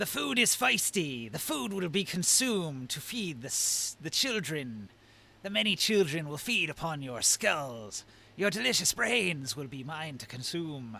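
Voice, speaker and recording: A man puts on a character voice at a fairly high pitch and a moderate pace. Hissing can be heard. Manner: menacing, predatory.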